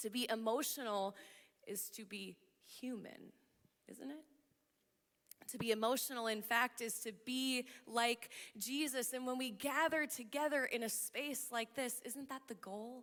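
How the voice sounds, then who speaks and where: Loud and high-pitched, a woman talks at a fairly slow pace with fairly even intonation and long, frequent pauses. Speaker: pastor. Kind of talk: sermon.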